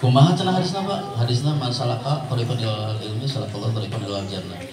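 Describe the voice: Audible room echo surrounds a man speaking at a fast pace. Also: medium pitch for a man, ordinary pitch variation.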